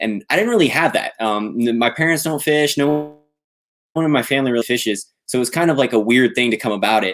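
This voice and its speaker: A man with an American accent talks at a very fast pace and medium pitch. His intonation is lively on a very clean recording with a silent background. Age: 20s. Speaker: competitive bass angler and college student. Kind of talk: podcast interview.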